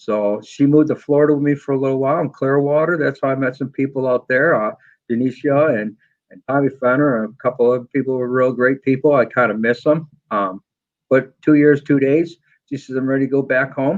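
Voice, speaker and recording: Speaking with a New England accent, a man keeps a medium pitch. He talks at a fairly quick pace with fairly even intonation. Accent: Yankee. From New York. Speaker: motorcycle footpeg maker and machinist. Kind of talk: podcast interview. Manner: fast.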